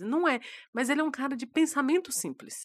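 A woman speaks with a high pitch. The recording is very clean with a silent background. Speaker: podcast co-host. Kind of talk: casual chat.

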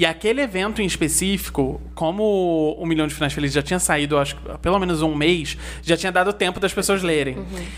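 Words come out rather fast, with pauses almost absent. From Nova Friburgo, Rio de Janeiro state, Brazil. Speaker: novelist. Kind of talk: casual interview.

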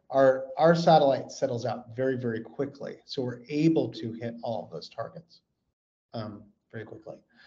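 This voice has a dark, mellow tone, a somewhat breathy quality and an American accent. It moves at a moderate pace with ordinary pitch variation and big swings in loudness. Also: man, medium pitch for a man. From California. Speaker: space company executive. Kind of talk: interview.

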